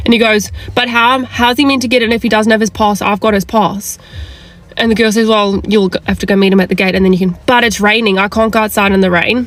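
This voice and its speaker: Over noticeable background noise, a woman talks at a very fast pace in a medium pitch with fairly even intonation. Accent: New Zealand. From South Africa. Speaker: events industry worker. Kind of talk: casual rant to camera. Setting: in a car.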